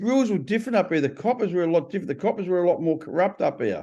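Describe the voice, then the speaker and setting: A man with a strong Australian accent talks at a very fast pace in a high pitch, with a dark, mellow tone. His intonation is lively, his loudness very even, and the background quiet. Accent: broad Australian. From Australia (Melbourne, Sydney). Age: 60s. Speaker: ex-prisoner author. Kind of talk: interview. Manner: casual, conversational.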